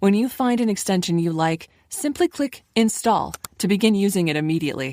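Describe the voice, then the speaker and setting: A woman's normal speaking voice at medium pitch, with lively intonation and a fairly quick pace. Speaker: voice actor. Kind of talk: software instructional narration.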